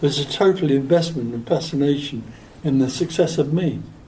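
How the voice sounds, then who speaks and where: A man with an English accent talks at a fairly quick pace and a fairly high pitch, with audible room echo. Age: 80s+. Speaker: spiritual teacher. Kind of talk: question and answer session. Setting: stage with audience. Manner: calm.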